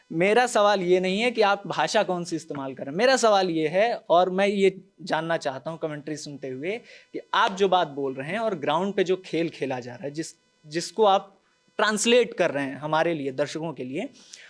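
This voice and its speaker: Lively intonation and a high pitch from a man speaking at a moderate speed. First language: Bhojpuri (speaking Hindi). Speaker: journalist on a news panel show. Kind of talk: panel discussion. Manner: animated.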